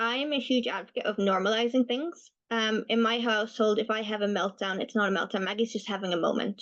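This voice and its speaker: Speaking at a fairly quick pace, a woman with an unremarkable speaking voice has fairly high pitch and ordinary pitch variation. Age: 20s. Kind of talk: webinar Q&A answer.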